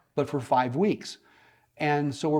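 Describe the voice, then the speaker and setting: A man's fairly high voice with an American accent, at a moderate pace against a quiet background. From Alabama, US South (grew up partly overseas). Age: 60s. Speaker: real estate investor and mentor. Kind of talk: podcast interview.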